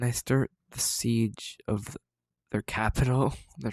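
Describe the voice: Plain reading aloud with fairly even intonation against a quiet background.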